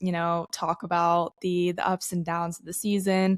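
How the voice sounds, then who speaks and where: A woman with medium pitch and a plain, everyday voice talks at a moderate pace. The recording is very clean with a silent background, the sound dry and close with no echo. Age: 20s. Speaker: podcast co-host. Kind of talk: casual chat.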